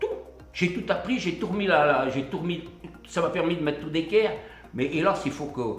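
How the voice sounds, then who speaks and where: With audible room echo and noticeable background noise, a man speaks at a moderate pace in a high pitch, using ordinary pitch variation and long, frequent pauses. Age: 80s+. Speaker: retired miner, tablet course participant. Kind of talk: interview testimony. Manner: halting.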